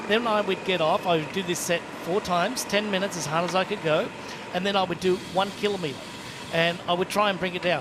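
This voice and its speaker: A man's high voice with ordinary pitch variation at a fairly quick pace, amid noticeable background noise. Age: 60s. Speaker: triathlon commentator, former pro. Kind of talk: live sports commentary chat.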